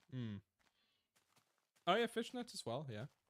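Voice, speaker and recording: A man with a slight Australian accent, in a dry, close sound with no echo. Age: 20s. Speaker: streamer. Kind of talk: live stream chat. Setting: live stream. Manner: casual.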